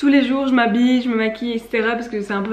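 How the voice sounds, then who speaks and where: With noticeable background noise around her, a woman speaks in a Belgian accent with fairly even intonation. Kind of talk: casual, conversational.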